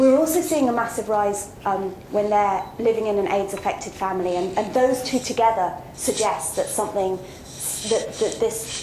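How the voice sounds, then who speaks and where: A woman's fairly high voice with ordinary pitch variation at a moderate pace, amid audible room echo and noticeable background noise. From South Africa, Western Cape (Hermanus). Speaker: social worker and researcher. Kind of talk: Q&A talk. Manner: hesitant, many fillers and repetitions.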